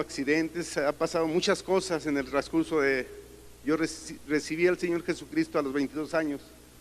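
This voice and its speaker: Monotone, flat intonation at a fairly quick pace. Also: man. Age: 60s. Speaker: church member giving testimony. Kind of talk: testimony.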